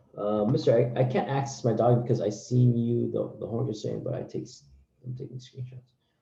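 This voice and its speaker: The tone is dark and mellow with vocal fry, ordinary pitch variation and big swings in loudness. Delivery is fairly quick, with audible room echo. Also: man. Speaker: teacher. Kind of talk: online class lecture.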